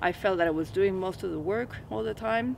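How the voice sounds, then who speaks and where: Lively intonation marks this woman's medium-pitched voice. She speaks in a Spanish accent. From Venezuela (Caracas). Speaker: hypnotherapist. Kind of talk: personal testimony in a teaching video. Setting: outdoors in a forest.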